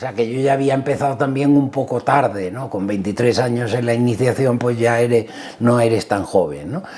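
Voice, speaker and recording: A man speaks at a moderate pace in a medium pitch, with ordinary pitch variation and noticeable background noise. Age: 60s. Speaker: motorsport team manager. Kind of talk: interview. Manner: hesitant, with fillers.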